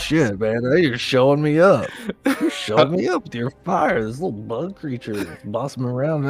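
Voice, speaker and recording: At a medium pitch, this man performs in a put-on character voice. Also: moderate pace. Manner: gruff, annoyed, boastful.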